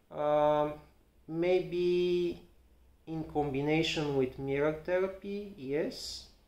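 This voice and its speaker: Audible room echo surrounds a man with a Bulgarian accent and a fairly high pitch, who speaks very slowly with fairly even intonation. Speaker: physiotherapist. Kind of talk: educational talk to camera. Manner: halting, many fillers and repetitions.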